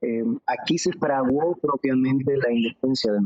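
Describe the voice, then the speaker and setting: This man talks at a fairly slow pace, his fairly high pitch rising and falling in an ordinary way. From Mexico (Tijuana, Mexico City; born Querétaro). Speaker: singer-songwriter and guitarist. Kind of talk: interview.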